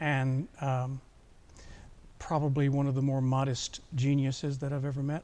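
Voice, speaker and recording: A man with an American accent, dark, mellow tone and monotone, flat intonation, broken by long, frequent pauses. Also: fairly high pitch for a man, moderate pace. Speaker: opera singer and voice professor. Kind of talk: interview. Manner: hesitant with fillers.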